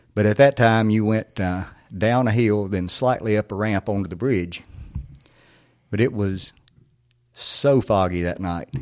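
A man with a North Carolina accent talks at a fairly slow pace with long, frequent pauses. His pitch is fairly low, with fairly even intonation. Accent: Southern US (North Carolina). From North Carolina, Surry County. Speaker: former sheriff, parole commissioner. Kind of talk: interview storytelling.

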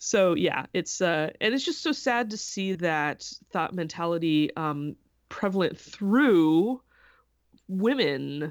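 A woman's lively intonation at a very slow pace. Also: medium pitch for a woman, very clean recording, silent background. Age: 40s. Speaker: podcast guest. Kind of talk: casual chat.

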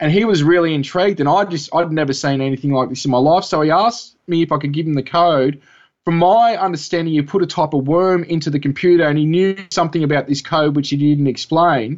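A man with an Australian accent, fairly high-pitched, at a very fast pace. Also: ordinary pitch variation, hardly any pauses. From Australia (Albury, NSW). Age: 30s. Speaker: filmmaker and UFO experiencer. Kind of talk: interview.

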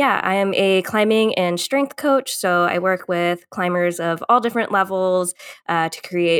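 Recorded very cleanly against a silent background, with a dry, close sound and no echo, a woman with a plain, everyday voice and an American accent speaks at a fairly slow pace and a medium pitch, with ordinary pitch variation. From Northern Virginia, US. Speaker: climbing coach. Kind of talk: casual interview.

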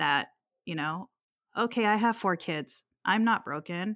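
Bright and sharp in tone, the voice moves at a moderate pace with ordinary pitch variation on a very clean recording with a silent background. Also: woman, dry, close sound with no echo. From Hawaii. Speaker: author. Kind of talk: interview.

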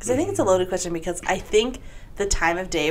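A woman with a medium-pitched voice talks at a very fast pace. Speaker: podcast co-host. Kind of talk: casual chat.

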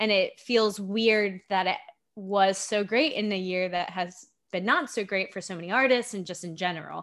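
In a quiet background, a woman with an American accent talks at a moderate pace. She has an unremarkable speaking voice, medium pitch and ordinary pitch variation. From Japan (US military family, Virginia home base). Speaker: actor and indie filmmaker. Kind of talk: casual chat.

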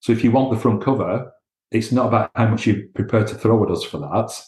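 A man speaks at a moderate pace with a Lancashire accent. His voice is somewhat breathy and medium in pitch. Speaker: commercial director. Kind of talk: interview.

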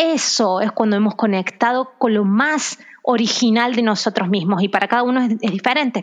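Pitched fairly high, a woman talks in a normal speaking voice. She keeps a moderate pace and her pitch varies in an ordinary way. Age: 30s. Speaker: physiotherapist and author. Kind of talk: interview testimony.

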